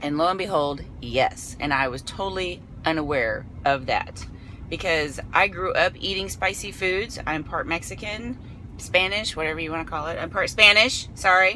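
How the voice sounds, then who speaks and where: Over light background noise, a woman talks at a moderate pace with a fairly low pitch and ordinary pitch variation, the sound dry with no echo. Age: 40s. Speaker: vlogger. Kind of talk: casual vlog storytelling while eating. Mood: animated, amused. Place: car. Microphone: phone near.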